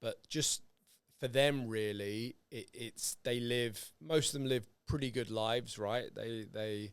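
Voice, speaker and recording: Speaking very slowly with a British accent, a man keeps a medium pitch and fairly even intonation. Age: 40s. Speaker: podcast host. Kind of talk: casual chat. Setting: podcast recording.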